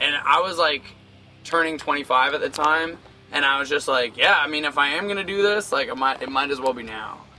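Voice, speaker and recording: A fairly high-pitched man at a fairly quick pace, with ordinary pitch variation and noticeable background noise. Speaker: touring punk metal band singer. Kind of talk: interview.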